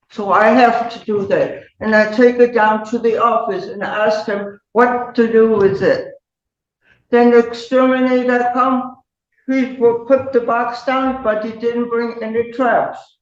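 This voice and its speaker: Audible room echo surrounds a woman with a high pitch. Her pace is fairly slow and her intonation fairly even. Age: 80s+. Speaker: tenant defendant. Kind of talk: court testimony.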